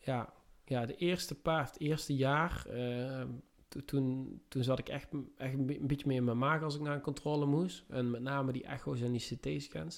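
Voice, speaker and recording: Medium in pitch, this man's voice moves at a fairly slow pace. His intonation stays fairly even. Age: 30s. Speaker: construction worker. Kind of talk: casual interview. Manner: halting.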